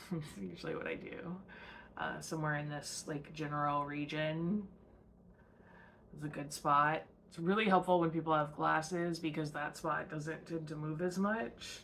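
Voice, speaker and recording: The voice carries audible room echo. It moves at a moderate pace with fairly even intonation. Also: woman, very deep, low pitch for a woman. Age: 30s. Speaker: podcast host. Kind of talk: casual monologue. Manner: hesitant, many fillers.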